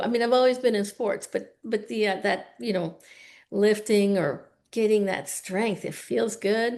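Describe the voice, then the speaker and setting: A woman talks at a fairly slow pace with ordinary pitch variation. Her voice is fairly high and carries vocal fry. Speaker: podcast co-host. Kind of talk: casual interview.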